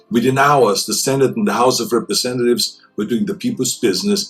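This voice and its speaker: Music plays behind a man speaking at a medium pitch. His pitch swings very widely. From Austria. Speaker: public figure. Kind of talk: public address speech.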